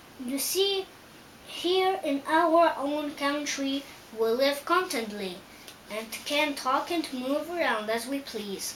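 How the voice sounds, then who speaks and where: Over clear background noise, a woman puts on a character voice with a high pitch and lively intonation, speaking at a fairly slow pace. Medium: read story. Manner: timid, gentle.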